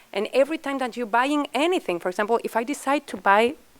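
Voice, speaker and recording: A woman with a non-native accent talks at a fairly quick pace with lively intonation. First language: not English. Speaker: fashion panelist. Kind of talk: panel discussion.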